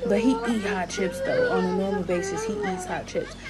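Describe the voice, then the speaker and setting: The voice shows ordinary pitch variation while loud music plays in the background. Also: woman. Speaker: parent vlogger. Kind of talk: casual vlog chat. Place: home room. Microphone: phone near.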